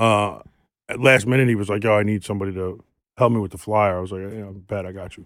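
A man with a New York accent talks very fast at a fairly low pitch, his intonation fairly even but his loudness swinging widely, in a very clean recording with a silent background. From New York City, Queens. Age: 40s. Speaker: tattoo artist. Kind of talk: casual chat. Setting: studio.

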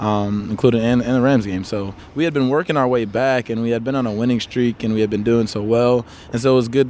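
Someone with an American accent talks at a very fast pace with fairly even intonation over noticeable background noise. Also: man, medium pitch for a man. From Chicago area, US. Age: 20s. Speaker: American football player. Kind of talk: casual interview chat.

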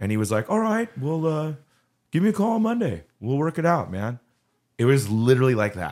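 A man with a Southern Californian accent speaks at a fairly quick pace and fairly high pitch, his voice making very wide pitch swings in a very clean recording with a silent background. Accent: Southern California American. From Southern California (Orange County). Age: 40s. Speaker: punk singer. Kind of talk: casual chat.

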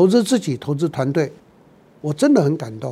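This man's voice has a dark, mellow tone. His pitch swings very widely. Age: 70s. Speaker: business consultant and professor. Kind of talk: podcast monologue.

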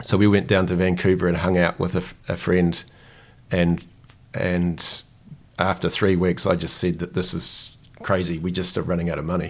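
With a New Zealand accent, a man talks in a monotone, flat intonation at a very deep, low pitch. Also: moderate pace. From New Zealand, Dunedin. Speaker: founder and CEO of a financial education company. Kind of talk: interview conversation. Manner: hesitant with fillers.

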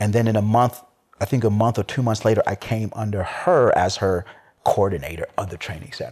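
A man speaks at a fairly quick pace in a fairly low pitch, with ordinary pitch variation and a somewhat breathy quality. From Chad. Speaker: cigar group member. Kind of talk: casual chat. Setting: in-person.

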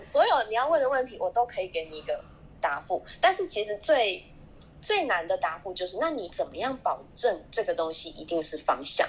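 A woman speaks at a fairly high pitch with very wide pitch swings. Her loudness also swings a lot. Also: moderate pace. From Taiwan. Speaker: smartphone marketing manager. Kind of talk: casual panel chat.

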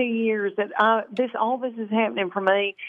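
A woman speaks with a Southern US accent. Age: 50s. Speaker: stand-up comedian. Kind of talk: casual radio interview. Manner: bubbly and animated, giggling often.

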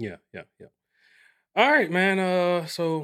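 The recording is very clean, with a silent background. A man talks at a moderate pace in a high voice. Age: 40s. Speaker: podcast host. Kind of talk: casual chat.

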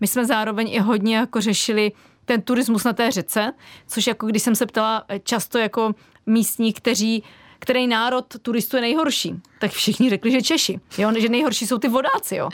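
A woman's fairly high, fairly quick voice with fairly even intonation and very even loudness, dry and close with no echo, on a very clean recording with a silent background. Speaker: artist. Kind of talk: radio interview. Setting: studio. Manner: fast.

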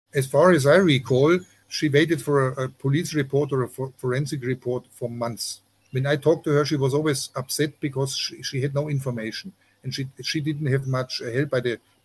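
Somewhat breathy and fairly high in pitch, a man with a German accent speaks at a moderate pace with fairly even intonation. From Germany. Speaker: journalist. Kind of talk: interview. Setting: remote call outdoors with jungle noises. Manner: halting, many fillers.

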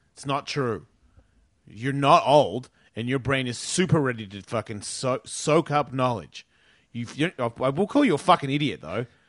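With a plain, everyday voice at medium pitch, a man speaks at a moderate pace with lively intonation and big swings in loudness against a quiet background. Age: 40s. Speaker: radio host and skateboarder. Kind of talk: casual chat. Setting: studio.

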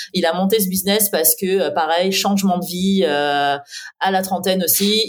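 Using a plain, everyday voice, a woman speaks at a fairly slow pace. Her pitch is medium and her intonation fairly even. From southeastern France. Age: 30s. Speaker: SEO and content agency owner. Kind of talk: interview.

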